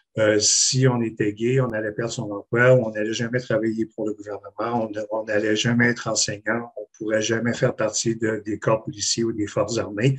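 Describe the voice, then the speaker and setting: A man's medium-pitched voice in monotone, flat intonation, with hardly any pauses. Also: moderate pace. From Quebec City. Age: 60s. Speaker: panelist, swimming coach. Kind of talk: testimony. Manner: halting.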